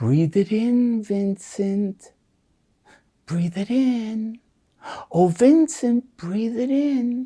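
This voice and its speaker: A put-on character voice with a fairly high pitch moves at a very slow pace. Long, frequent pauses fill the delivery. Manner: soothing.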